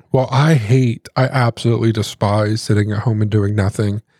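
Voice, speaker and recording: At a moderate pace, a man with an American accent speaks at medium pitch with fairly even intonation and a dark, mellow tone, the recording very clean with a silent background and a dry, close sound with no echo. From US Midwest. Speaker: podcast co-host. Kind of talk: casual chat.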